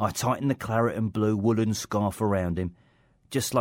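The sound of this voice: An unforced reading voice is what comes through here.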